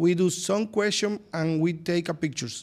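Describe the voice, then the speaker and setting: A man with a Spanish accent, high in pitch, at a fairly slow pace with ordinary pitch variation. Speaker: plastic surgeon. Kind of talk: interview. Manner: halting.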